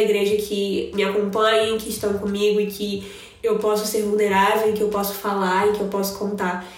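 With monotone, flat intonation, a woman speaks at medium pitch and a moderate pace, with audible room echo and noticeable background noise. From Rio de Janeiro, Brazil. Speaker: churchgoer sharing faith experience. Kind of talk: casual chat.

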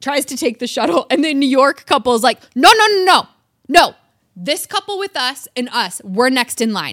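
A woman at a moderate pace with very wide pitch swings, in a dry, close sound with no echo on a very clean recording with a silent background. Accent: Michigan. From Michigan, US. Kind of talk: casual chat.

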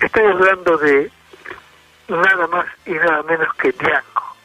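Clear background noise under fairly unhurried speech. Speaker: radio music columnist. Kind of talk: radio music segment, casual narration.

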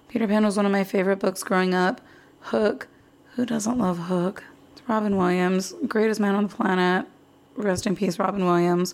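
In a normal speaking voice, a woman with an American accent talks at a fairly quick pace and medium pitch, with ordinary pitch variation. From Arizona. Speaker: podcast host. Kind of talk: casual chat.

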